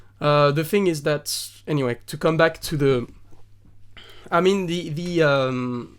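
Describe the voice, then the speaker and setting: A man speaks with a French accent, his pitch fairly high for a man and its variation ordinary. The pace is fairly slow, with long, frequent pauses. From southern France. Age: 30s. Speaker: singer-songwriter. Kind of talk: podcast interview. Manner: halting, many fillers and restarts.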